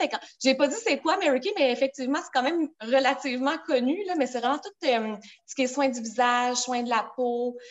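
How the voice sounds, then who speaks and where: A woman's high pitch with ordinary pitch variation. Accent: Quebec. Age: 30s. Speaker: direct sales director. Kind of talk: casual interview.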